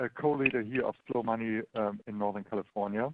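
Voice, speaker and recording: A man speaks with a German accent. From Germany. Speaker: local investing entrepreneur. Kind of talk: webinar presentation. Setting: online webinar. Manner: halting, many fillers.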